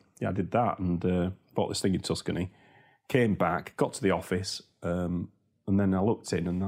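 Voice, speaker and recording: Very deep, low pitch from a man with a Yorkshire accent, at a fairly quick pace. The recording is very clean, with a silent background. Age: 50s. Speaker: property investor. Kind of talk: interview. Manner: animated.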